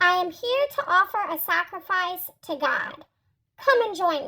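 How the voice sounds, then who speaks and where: Squeaky and extremely high-pitched, the put-on character voice moves at a moderate pace. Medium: read story.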